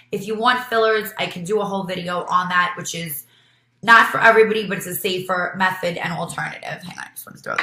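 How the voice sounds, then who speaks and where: With a New York accent, a woman talks at a medium pitch with fairly even intonation as audible room echo surrounds her. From New York City, Brooklyn. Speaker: beauty vlogger and nurse. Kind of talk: tutorial. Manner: casual, with many fillers.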